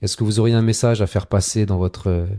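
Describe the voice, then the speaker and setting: The voice has a dark, mellow tone and fairly even intonation, recorded with a dry, close sound and no echo. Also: man. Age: 40s. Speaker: local politician. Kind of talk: interview.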